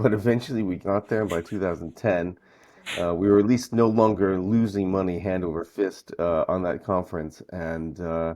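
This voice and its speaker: Against a quiet background, a man talks in a Northeastern US accent. His pace is moderate and his pitch varies in an ordinary way. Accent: American Northeast. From US Northeast, Brooklyn. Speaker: conference founder and event organiser. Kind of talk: podcast interview. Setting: remote call from North Carolina.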